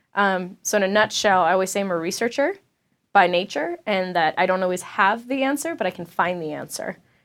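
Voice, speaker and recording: A woman speaks in a normal speaking voice at a medium pitch and a fairly quick pace, with ordinary pitch variation. The recording is very clean, with a silent background. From South Florida, Latin community. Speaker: tech startup founder and CEO. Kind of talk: interview. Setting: studio.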